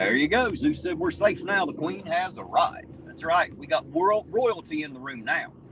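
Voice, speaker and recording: Moderate pace in an Appalachian accent, hardly any pauses, big swings in loudness, noticeable background noise. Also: man. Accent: American hillbilly. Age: 40s. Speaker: live-stream host, auditor. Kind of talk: casual chat.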